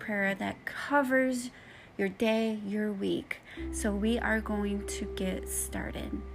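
Noticeable background noise runs behind a woman who speaks at a very slow pace. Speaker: prayer video host. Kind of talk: fervent prayer. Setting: recorded with background music. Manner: earnest, heartfelt.

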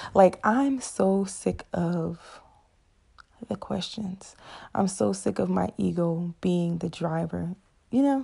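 A woman speaks very slowly with a fairly low pitch and a dark, mellow, somewhat breathy tone. Her intonation is lively, with long, frequent pauses. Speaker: solo podcaster. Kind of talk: personal monologue. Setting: at home.

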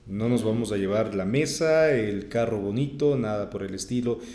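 Medium-pitched male speech, audible room echo around it, ordinary pitch variation throughout. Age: 30s. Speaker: radio announcer. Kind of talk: interview.

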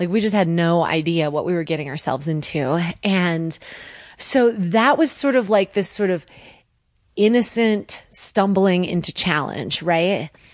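With an American accent, a woman speaks at a fairly slow pace in a fairly low pitch with lively intonation against a quiet background. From US Northeast, Connecticut. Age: 30s. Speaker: TV survival show participant. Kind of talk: casual chat. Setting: studio.

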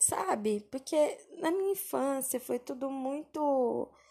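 A woman's dark, mellow tone with lively intonation. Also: quiet background. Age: 20s. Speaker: podcaster, communications worker. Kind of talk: casual personal monologue.

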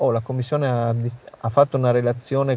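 Over noticeable background noise, a man of medium pitch talks at a fairly quick pace in a monotone, flat intonation. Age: 50s. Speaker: national coordinator of an anti-mafia association. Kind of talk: interview.

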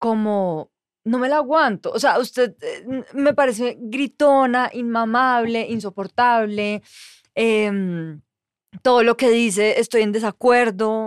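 In a very clean recording with a silent background and a dry, close sound with no echo, a woman talks at a very slow pace, her fairly high pitch showing ordinary variation. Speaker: journalist. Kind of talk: casual chat.

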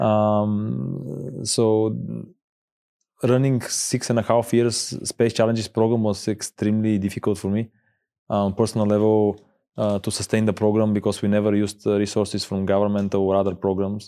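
A man speaks in a dark, mellow tone at a fairly low pitch, with fairly even intonation and a moderate pace. The recording is very clean, with a silent background. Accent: Bulgarian. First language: Bulgarian. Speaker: space tech company founder. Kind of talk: interview. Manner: hesitant, many fillers.

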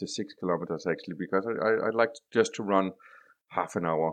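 Against a quiet background, a man with a Danish accent speaks at a fairly low pitch with ordinary pitch variation. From Denmark. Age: 40s. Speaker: IT consultant. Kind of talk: casual interview. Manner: halting.

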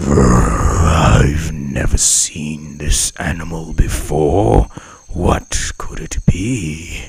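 A man growls very slowly in a put-on character voice with a very deep, low pitch. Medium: read story.

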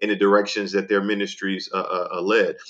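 A man with an American accent and an unremarkable speaking voice, fairly low in pitch, at a fairly quick pace. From US South, New Orleans. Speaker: pastor, lawyer and professor. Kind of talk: interview.

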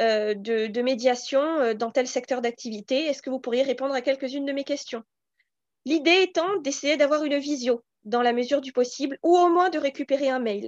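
A woman with a high voice speaks at a moderate pace with ordinary pitch variation. The sound is dry and close with no echo, over a quiet background. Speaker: recruitment firm co-founder. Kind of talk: interview. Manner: animated.

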